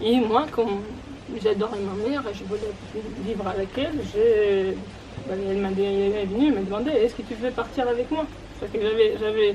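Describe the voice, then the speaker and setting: Amid noticeable background noise and audible room echo, a woman with a fairly high pitch speaks at a moderate pace, her loudness swinging widely and her long pauses coming often. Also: ordinary pitch variation. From Moldova, moved to Russia at ten. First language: Romanian (speaking French). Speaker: speaker telling her life story. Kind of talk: personal testimony talk. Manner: hesitant, many fillers.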